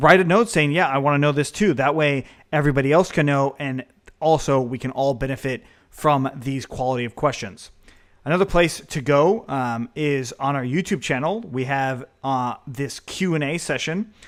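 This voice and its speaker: A man's fairly high voice, varying in pitch in an ordinary way, comes through a very clean recording with total silence behind it. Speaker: programming course instructor. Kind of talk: tutorial. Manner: fast.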